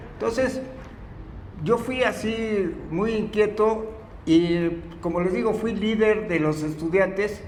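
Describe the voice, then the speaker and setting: A man with a high pitch speaks at a very slow pace in a central Mexican accent. Noticeable background noise and audible room echo surround him. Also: ordinary pitch variation. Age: 80s+. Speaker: philosophy lecturer. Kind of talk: lecture. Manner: halting.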